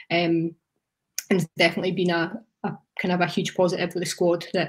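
A fairly low-pitched woman's somewhat breathy voice, monotone and very fast yet broken by long, frequent pauses, over a quiet background. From Scottish Borders, Hawick. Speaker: rugby coach. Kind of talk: casual interview. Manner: fast talker. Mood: relaxed, reflective.

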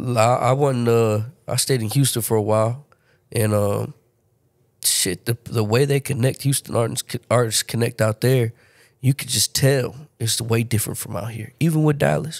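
A man with a plain, everyday voice talks at a moderate pace and medium pitch with ordinary pitch variation, recorded very cleanly against a silent background with a dry, close sound and no echo. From Baltimore, Maryland; moved to San Antonio at 13. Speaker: rapper. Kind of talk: casual chat.

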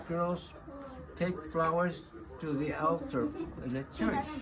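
There is noticeable background noise as a man speaks at a fairly slow pace. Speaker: great-grandfather. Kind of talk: casual family talk, giving advice to a child. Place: home room. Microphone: phone near.

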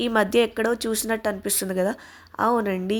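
A woman heard on a very clean recording, background silent. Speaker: family vlogger. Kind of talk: casual vlog narration.

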